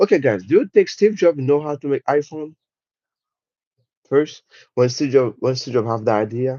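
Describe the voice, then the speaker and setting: A man with a French accent speaks at a moderate pace in a fairly high pitch. His intonation is lively, and he takes long, frequent pauses. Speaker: livestreamer, motivational speaker. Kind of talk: live stream chat about mindset. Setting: live stream. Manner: animated.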